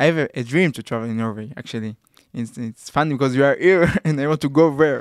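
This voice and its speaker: Speaking with an Israeli accent, a man talks at a very fast pace in a fairly high pitch with ordinary variation. The sound is dry and close, with no echo. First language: Hebrew. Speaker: podcast host. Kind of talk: casual interview.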